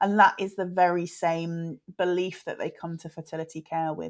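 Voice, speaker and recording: A woman with a British accent speaks in a fairly low voice on a very clean recording with a silent background. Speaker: fertility specialist and author. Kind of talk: interview.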